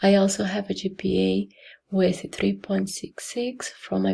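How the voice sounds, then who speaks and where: With a Brazilian accent, a woman speaks at a fairly slow pace. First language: Portuguese. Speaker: nursing program applicant, nursing assistant. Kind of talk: admission interview video answers. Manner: hesitant, with fillers.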